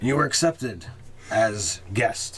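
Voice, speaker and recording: A man puts on a raspy character voice at a medium pitch, with clear background noise behind him. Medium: actual play. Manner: calm, conciliatory.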